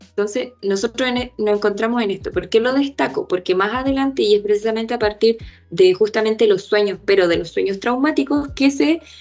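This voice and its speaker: Over music in the background, a woman with a fairly high pitch talks at a fairly quick pace with lively intonation and hardly any pauses. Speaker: teaching assistant. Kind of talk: lecture.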